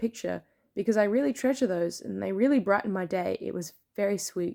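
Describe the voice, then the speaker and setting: A woman talks fairly quickly with an Australian accent, her medium-pitched voice dark and mellow in tone, in a very clean, dry, close recording with a silent background and no echo. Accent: mild Australian. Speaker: plushie maker and content creator. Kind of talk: tutorial. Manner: clear enunciation.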